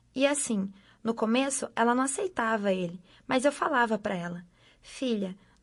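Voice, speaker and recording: Pitched fairly high, a woman speaks at a moderate pace with lively intonation. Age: 60s. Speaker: mother of a prisoner. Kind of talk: testimony. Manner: animated.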